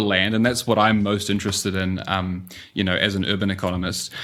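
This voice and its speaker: This man speaks with a New Zealand accent. His pace is very fast. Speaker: urban economist. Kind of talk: podcast interview. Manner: frequent fillers (um, uh).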